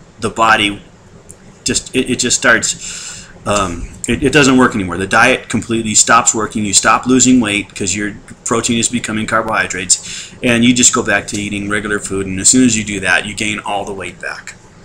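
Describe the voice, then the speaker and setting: Against noticeable background noise, a man talks in a fairly low pitch with fairly even intonation. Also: fairly quick pace. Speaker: weight-loss surgery patient. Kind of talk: casual talk to camera. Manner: hesitant, conversational.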